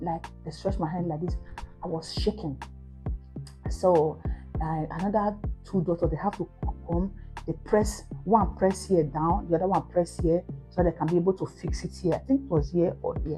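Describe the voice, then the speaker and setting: A woman with a Nigerian accent, with music in the background. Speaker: mom vlogger. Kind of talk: casual talk to camera.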